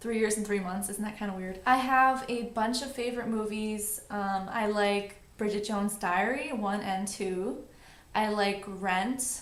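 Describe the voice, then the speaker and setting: A woman with an American accent speaks at a fairly slow pace in a fairly high pitch. Audible echo from the room surrounds her. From New York City. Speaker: beauty vlogger. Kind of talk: casual vlog monologue.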